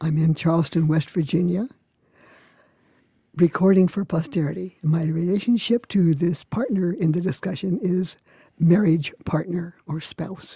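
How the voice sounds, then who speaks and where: A woman speaks at a fairly slow pace with a fairly low pitch and a dark, mellow, somewhat breathy tone. Her intonation stays fairly even, and the sound is dry and close with no echo. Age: 80s+. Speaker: Wiccan teacher. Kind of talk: interview.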